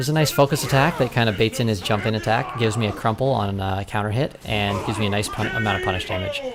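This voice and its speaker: Music plays in the background as a man talks at a very fast pace. His pitch is medium, with ordinary pitch variation. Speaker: gaming commentator. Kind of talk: match commentary over gameplay. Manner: casual, with frequent fillers.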